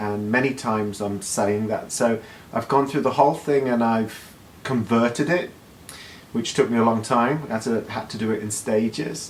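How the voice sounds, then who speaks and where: Noticeable background noise sits behind speech in a British accent, delivered at a moderate pace with fairly even intonation. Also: man, medium pitch for a man. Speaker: life coach and hypnotherapist. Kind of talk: monologue talk.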